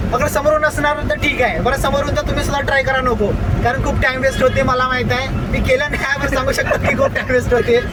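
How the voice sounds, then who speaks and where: Crowd noise fills the background as a man speaks. Audible room echo surrounds his voice. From India, Nagpur (Maharashtra). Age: 20s. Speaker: YouTube vlogger. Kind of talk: casual vlog chat. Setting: in a car.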